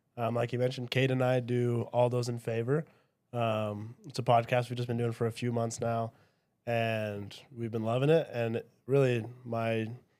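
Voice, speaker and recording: The speaker has a Utah accent and a monotone, flat intonation. The recording is very clean, with a silent background. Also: man, medium pitch for a man, moderate pace. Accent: Utah American English. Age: 20s. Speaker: podcast guest, religious apologist. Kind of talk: casual chat.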